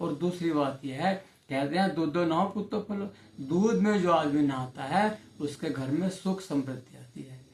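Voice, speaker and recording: A man speaks with a fairly high pitch and ordinary pitch variation. He has a normal speaking voice. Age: 60s. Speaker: ayurvedic health advisor. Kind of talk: informal health tutorial.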